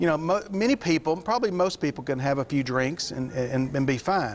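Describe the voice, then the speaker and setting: A man speaks at a fairly quick pace with ordinary pitch variation. Light background noise sits under his voice. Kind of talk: interview answer. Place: studio. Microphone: lapel.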